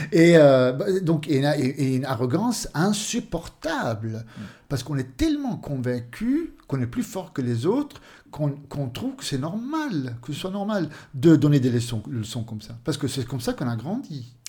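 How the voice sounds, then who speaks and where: A man with a fairly high pitch and very wide pitch swings talks at a fairly slow pace in a dark, mellow, somewhat breathy tone. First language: Swedish (speaking French). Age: 50s. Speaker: author. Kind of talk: interview. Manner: halting.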